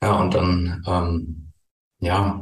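Fairly even intonation marks a somewhat breathy voice. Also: man. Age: 40s. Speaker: tax advisor and coach. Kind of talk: interview. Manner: hesitant with many fillers.

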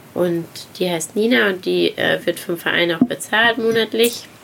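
This woman has an unremarkable speaking voice with a fairly low pitch. She keeps a moderate pace and ordinary pitch variation. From Saarland, Germany. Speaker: interior designer and charity founder. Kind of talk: casual interview. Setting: outdoors by the sea.

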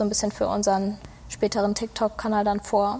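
A woman speaks at a moderate pace in a fairly high, somewhat breathy voice. Her intonation stays monotone and flat. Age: 20s. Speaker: media design student and social media employee. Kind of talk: casual interview.

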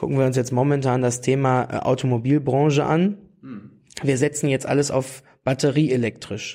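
A man speaks at a moderate pace in a dark, mellow tone. His pitch is medium and his intonation fairly even. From Lower Saxony, near Hanover. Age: 30s. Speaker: youth wing leader of a political party. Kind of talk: interview. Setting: party office.

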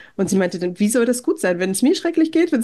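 Her voice high in pitch, a woman speaks with very wide pitch swings. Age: 30s. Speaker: podcaster, mother living abroad. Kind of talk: interview. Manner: hesitant with filler sounds.

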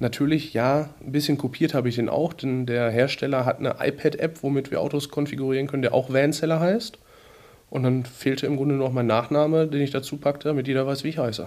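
A man speaks at a very fast pace in a fairly high pitch, his intonation fairly even. The recording is very clean, with a silent background. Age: 20s. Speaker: car salesman and content creator. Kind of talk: interview.

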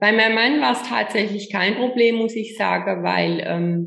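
A woman's voice shows vocal fry, with audible room echo around it. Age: 50s. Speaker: image coach. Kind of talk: interview. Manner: halting.

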